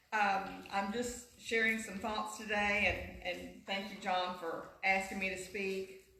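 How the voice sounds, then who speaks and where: In a room with audible echo and noticeable background noise, a woman speaks very slowly at a medium pitch with monotone, flat intonation. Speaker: teacher giving a Mother's Day talk at church. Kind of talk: church talk. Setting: church. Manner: loud, projected teacher voice.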